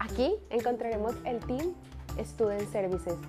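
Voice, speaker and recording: Fairly slow speech from a woman, clear music behind her. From Colombia; Cali, Colombia. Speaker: student services staff member. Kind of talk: campus tour guide talk to camera. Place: office. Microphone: lapel.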